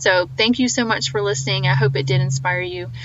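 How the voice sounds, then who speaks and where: A woman talks very fast with a slight Southern US accent and very wide pitch swings. Noticeable background noise runs underneath. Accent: slight Southern twang. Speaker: podcast host. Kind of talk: podcast outro monologue. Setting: phone call. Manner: animated.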